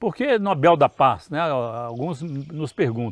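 Over a quiet background, a man talks with lively intonation in a dry sound with no echo. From Brazil, Paracatu, Minas Gerais; Minas Gerais, Brazil. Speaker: professor and farm owner, interviewer; professor, interviewer. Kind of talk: interview. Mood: warm, reminiscing. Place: garden.

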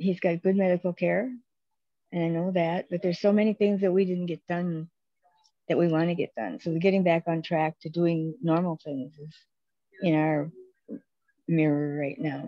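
A woman with a fairly low pitch and fairly even intonation speaks at a moderate pace, leaving long, frequent pauses. The sound is dry with no echo, and the background is quiet. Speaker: group member. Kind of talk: casual chat. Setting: video call from a hospital. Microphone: video call.

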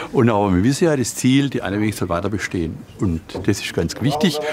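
A man speaks at a fairly quick pace. Noticeable background noise is present. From Hohenlohe, Germany. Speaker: hobby musician. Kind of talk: interview answer. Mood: relaxed, humorous. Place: hall.

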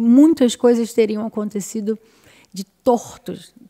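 Over a quiet background, a woman speaks very slowly in a dark, mellow tone. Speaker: podcast host. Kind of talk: casual interview. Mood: earnest, grateful. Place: studio. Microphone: studio mic.

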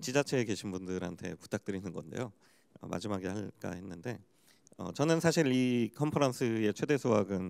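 In a plain, everyday voice, a man talks at a fairly quick pace with a fairly low pitch. His intonation is lively, with big swings in loudness. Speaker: startup forum head; panelist. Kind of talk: panel discussion. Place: hall. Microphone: handheld.

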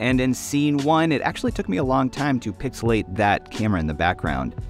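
Faint music sits behind a man who speaks at a fairly quick pace in a dry sound with no echo. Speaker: camera reviewer. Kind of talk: tutorial commentary. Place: studio.

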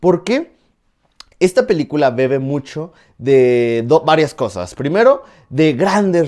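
At a fairly slow pace, a man with a fairly high pitch talks with very wide pitch swings. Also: quiet background. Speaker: film reviewer YouTuber. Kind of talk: film review monologue. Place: home room. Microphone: lapel.

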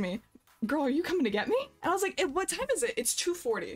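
A woman's very fast delivery with lively intonation. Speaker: streamer. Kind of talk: casual stream chat and storytelling. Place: home room. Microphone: headset.

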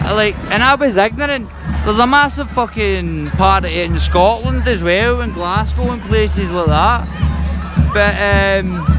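A man is speaking with music in the background. The sound is dry, with no echo. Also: fairly slow pace. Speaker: local vlogger filming a parade. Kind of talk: casual vlog chat. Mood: relaxed, candid, some swearing. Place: street. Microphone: phone near.

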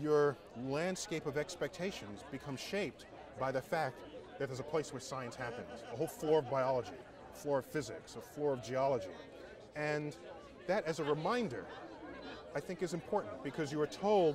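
Dry with no echo amid noticeable background noise, a man speaks at a fairly quick pace with lively intonation. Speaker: guest. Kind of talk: interview answer. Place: open country. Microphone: lapel.

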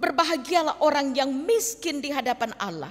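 A woman talks at a fairly slow pace, her high-pitched voice carrying lively intonation. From Indonesia, Toraja (South Sulawesi). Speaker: pastor. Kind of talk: sermon. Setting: church. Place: church. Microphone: podium.

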